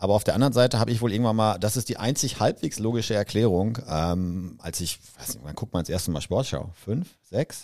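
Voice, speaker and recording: In a very clean recording with a silent background, a man with an unremarkable speaking voice talks fairly quickly at a fairly low pitch, with lively intonation and big swings in loudness. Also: hardly any pauses. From Westphalia, Germany (Soest area). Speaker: employee, foreign correspondent on podcast. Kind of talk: casual chat.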